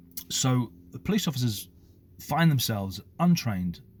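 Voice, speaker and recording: A man at a fairly slow pace, somewhat breathy, with lively intonation. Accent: British. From United Kingdom. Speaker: former police officer, commentator. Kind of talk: opinion monologue to camera.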